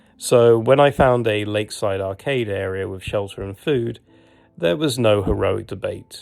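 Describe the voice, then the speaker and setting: Over background music, a man with a British accent speaks at a fairly low pitch and a moderate pace with ordinary pitch variation. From Britain. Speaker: travel and hiking vlogger. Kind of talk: humorous travel documentary narration.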